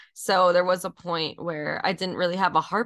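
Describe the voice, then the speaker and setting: At a moderate pace and medium pitch, a woman with an American accent speaks in a plain, everyday voice. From New York, Rockland County. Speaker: multimedia artist and harpist. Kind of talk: interview.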